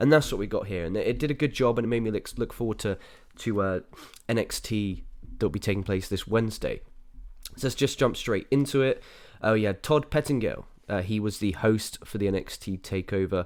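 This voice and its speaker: Here a man with an English accent speaks at a medium pitch and a fairly quick pace. His pitch variation is ordinary, and the recording is very clean with a silent background. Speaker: wrestling podcast host. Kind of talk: casual review podcast. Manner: casual, filler-heavy.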